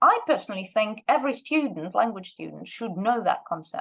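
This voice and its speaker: Speaking with a Russian accent, a woman uses a high pitch that swings very widely up and down. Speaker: language teacher and researcher. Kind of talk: lecture.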